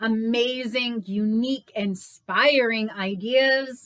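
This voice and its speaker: A woman speaks loudly in a high voice with a bright, sharp tone. Her pitch variation is ordinary. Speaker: book reviewer and channel host. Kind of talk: casual book review vlog. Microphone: no microphone, built-in recording.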